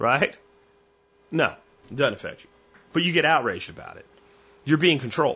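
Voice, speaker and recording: This man talks in a high-pitched voice full of lively intonation. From Pennsylvania. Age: 40s. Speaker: podcast host. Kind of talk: casual monologue.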